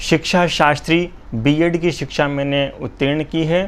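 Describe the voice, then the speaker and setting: A man's normal speaking voice, fairly high in pitch, with fairly even intonation. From Jhalawar, Rajasthan, India. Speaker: poet. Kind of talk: interview. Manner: formal.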